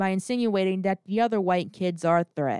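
A woman's plain, everyday voice with an American accent, medium in pitch with ordinary variation, at a fairly quick pace, in a very clean recording with a silent background and a dry, close sound with no echo. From US South, North Carolina. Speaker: podcast host. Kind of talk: scripted narration.

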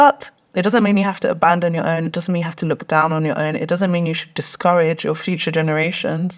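A woman with a London accent, fairly low in pitch, at a moderate pace with ordinary pitch variation. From London, England. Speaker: doctoral researcher. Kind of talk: podcast interview.

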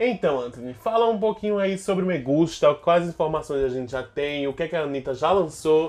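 A man talks at a moderate pace with lively intonation and an animated tone. The background is quiet. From Alagoas, Brazil. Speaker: actor and podcast co-host. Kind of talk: casual chat.

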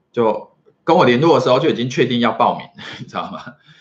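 This is a man speaking at a medium pitch. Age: 40s. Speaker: marketing consultant and entrepreneur. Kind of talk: solo vlog talk to camera. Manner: filler-heavy, casual with frequent 哈.

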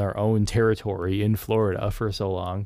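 A man with a plain, everyday voice, fairly low in pitch, fairly even intonation, moderate pace, very clean recording with a silent background. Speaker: podcast co-host. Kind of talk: casual chat.

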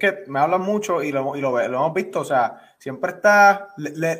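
A high-pitched man at a moderate pace. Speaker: sports podcast host. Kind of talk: casual interview.

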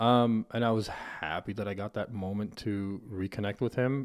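In a very clean recording with a silent background, a man has an ordinary speaking voice, a fairly low pitch and ordinary pitch variation. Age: 30s. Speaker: podcast host. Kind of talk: casual chat. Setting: studio.

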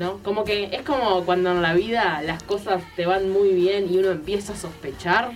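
With audible room echo and noticeable background noise, a woman talks with fairly even intonation and hardly any pauses. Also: medium pitch for a woman, moderate pace. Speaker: radio co-host, communication student. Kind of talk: casual chat.

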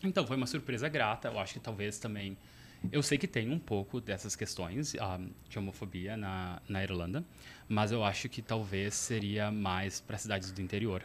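With ordinary pitch variation, the speaker keeps to a moderate pace. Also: man, fairly low pitch for a man. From southern Brazil, Porto Alegre area. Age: 30s. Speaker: traveler and former exchange student. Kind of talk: casual interview chat. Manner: hesitant, many fillers.

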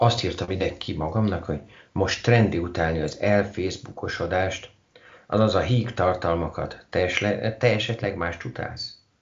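A man speaks with a very deep, low pitch and ordinary pitch variation. His voice is somewhat breathy. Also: moderate pace. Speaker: podcast host. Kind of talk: casual interview. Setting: Skype call.

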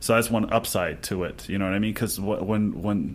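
A man speaks with an American accent. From south Texas, near the Mexican border. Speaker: reality TV cast member and restaurant manager. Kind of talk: interview. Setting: radio studio. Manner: halting.

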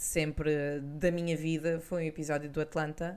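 A woman speaks with a European Portuguese accent. Her fairly low voice stays monotone and flat. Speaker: culture podcast co-host. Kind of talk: casual chat.

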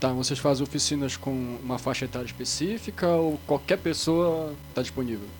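Hardly pausing, a man with an unremarkable speaking voice talks at a moderate pace and medium pitch with lively intonation. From Belém, Pará, Brazil. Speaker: podcast co-host. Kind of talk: casual chat.

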